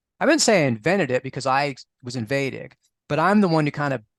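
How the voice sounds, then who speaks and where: Very fast and with vocal fry, a man with an American accent talks at a fairly high pitch, the sound dry and close with no echo over a quiet background. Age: 60s. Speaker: astrologer and author on astrological magic. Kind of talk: interview. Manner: conversational with many fillers and restarts.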